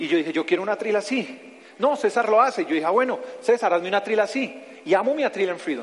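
Over noticeable background noise, a man with a Bogotá accent talks at a very fast pace in a high pitch, with an animated tone and lively intonation. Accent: Bogotá Colombian Spanish (rolo). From Bogotá, Colombia. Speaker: pastor. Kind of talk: sermon. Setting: church.

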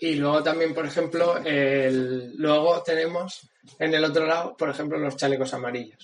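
A man's fairly high-pitched voice at a moderate pace, with fairly even intonation. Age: young. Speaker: podcast co-host. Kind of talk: casual chat. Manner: halting.

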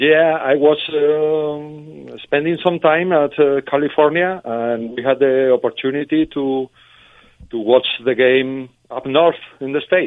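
Fairly even intonation in a Spanish accent. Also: man. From Spain. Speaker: fan club leader. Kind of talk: phone interview. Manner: halting.

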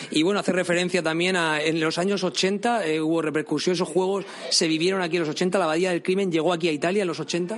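Over noticeable background noise, a man with a high voice talks at a very fast pace, keeping very even loudness and fairly even intonation. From Spain. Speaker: podcast host. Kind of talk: interview. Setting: museum.

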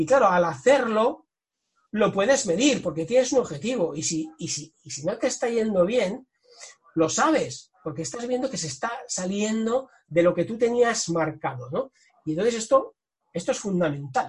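Very wide pitch swings mark this man's speech. He talks high at a moderate pace. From Catalonia, Spain (Tarragona coast). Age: 40s. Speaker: sales director and author. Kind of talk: interview.

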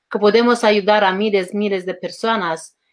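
With a Romanian accent, a woman speaks at a fairly slow pace and a medium pitch, with fairly even intonation over a quiet background. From Romania, rural village. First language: Romanian (speaking Spanish). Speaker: life coach and author. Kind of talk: interview. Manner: halting.

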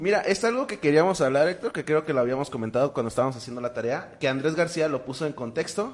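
Very fast speech with hardly any pauses. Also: man, fairly high pitch for a man. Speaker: podcast host. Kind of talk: casual chat. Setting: live stream. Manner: halting.

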